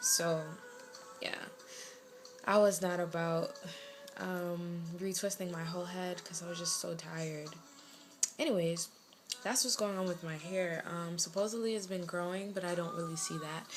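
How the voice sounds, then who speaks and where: Over noticeable background noise and audible room echo, a woman speaks at a moderate pace in a fairly low pitch with fairly even intonation and long, frequent pauses. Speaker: lifestyle vlogger. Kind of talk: casual vlog update. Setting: bedroom at home.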